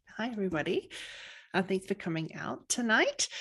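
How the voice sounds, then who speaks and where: With an Australian accent, a woman speaks at a moderate pace. Her pitch is medium, with ordinary variation. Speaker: family physician and coach. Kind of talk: webinar presentation.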